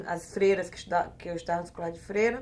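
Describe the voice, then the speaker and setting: A woman's medium-pitched voice in an Alagoas accent. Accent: northeastern Brazilian (Alagoas), retained. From Brazil, Alagoas (Maceió). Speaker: economist and activist. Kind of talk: interview. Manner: halting, many fillers.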